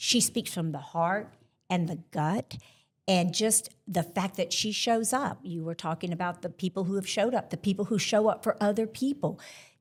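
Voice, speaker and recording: In a very clean recording with a silent background, a woman with a somewhat breathy, medium-pitched voice talks at a moderate pace with ordinary pitch variation. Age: 60s. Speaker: podcast co-host. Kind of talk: live panel conversation. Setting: stage with live audience.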